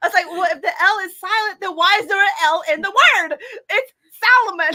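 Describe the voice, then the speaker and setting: A woman's extremely high, bright, sharp voice, raised and projected, at a fairly quick pace with ordinary pitch variation. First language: Hmong. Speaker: fan convention guest. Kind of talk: casual chat.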